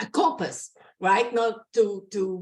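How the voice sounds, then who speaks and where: A woman with a Brazilian Portuguese accent speaks at a fairly high pitch with lively intonation. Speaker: career coach. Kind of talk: presentation. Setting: video call. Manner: loud; animated.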